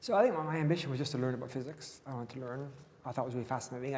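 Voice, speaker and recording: Audible room echo surrounds a man's medium-pitched voice, which has a dark, mellow tone and ordinary pitch variation. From Gabon, Dutch family. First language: Dutch. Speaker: physicist and academic. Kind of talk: interview on stage. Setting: stage with audience.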